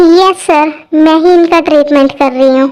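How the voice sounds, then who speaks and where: A woman puts on a character voice, extremely high in pitch. Her intonation is fairly even and her pace moderate. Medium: audio drama. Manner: deferential.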